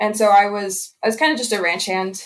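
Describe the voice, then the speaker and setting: Here a woman speaks at a medium pitch with a slight Pennsylvania accent. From Southeast Pennsylvania. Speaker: cattle herdsman, former farm apprentice. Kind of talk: podcast interview.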